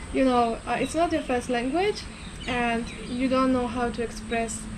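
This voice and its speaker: Amid audible room echo and noticeable background noise, a woman with a high pitch speaks at a moderate pace with ordinary pitch variation. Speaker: vlogger. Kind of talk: casual chat.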